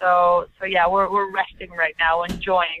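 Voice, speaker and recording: At a fairly slow pace, a woman talks in a monotone, flat intonation at a medium pitch. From Colombia. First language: Spanish. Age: young. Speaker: actress and model. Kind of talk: interview. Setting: phone call.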